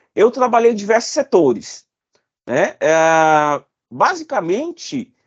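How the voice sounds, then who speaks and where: Against a quiet background, a man talks very slowly at an extremely high pitch, with very wide pitch swings. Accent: Cearense. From Ceará, Brazil (Fortaleza). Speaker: safety engineer and consultant. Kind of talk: interview.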